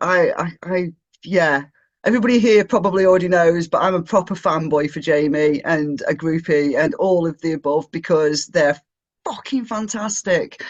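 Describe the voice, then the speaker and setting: A man with an English accent speaks at a moderate pace against a quiet background. His pitch is high, with ordinary variation. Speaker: online event host. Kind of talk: event hosting, reading a bio. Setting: video call. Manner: animated.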